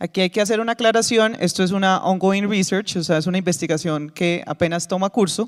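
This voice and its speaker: High-pitched for a man, his voice moves at a fairly quick pace with fairly even intonation, very even loudness and hardly any pauses, in a very clean recording with a silent background and a dry, close sound with no echo. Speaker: conference presenter, former sports cluster project leader. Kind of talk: conference presentation. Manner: fast.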